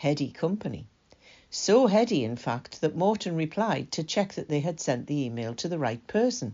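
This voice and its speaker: Very wide pitch swings at a moderate pace. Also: woman, very deep, low pitch for a woman. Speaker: volunteer newsreader. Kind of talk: reading aloud.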